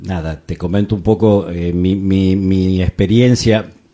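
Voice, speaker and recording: With a Rioplatense accent, a man speaks in a very deep, low pitch and a dark, mellow tone, his intonation fairly even. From Argentina, Buenos Aires province (Chacabuco). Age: 60s. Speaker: film critic. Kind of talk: casual chat. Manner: halting, many fillers.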